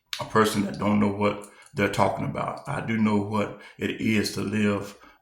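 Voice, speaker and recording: There is audible room echo and noticeable background noise. A man talks at a moderate pace with ordinary pitch variation. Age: 60s. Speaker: preacher and reaction channel host. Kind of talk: casual commentary to camera. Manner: halting, many fillers.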